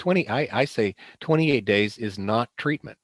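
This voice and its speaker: This man's voice sits fairly low in pitch and makes very wide pitch swings. The sound is dry and close, with no echo. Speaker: presenter on addiction treatment. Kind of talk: lecture. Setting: video call.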